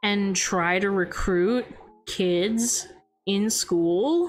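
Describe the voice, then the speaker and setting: Against noticeable background noise, a soft-spoken woman talks at a medium pitch with ordinary pitch variation. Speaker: VTuber. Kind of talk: casual livestream chat.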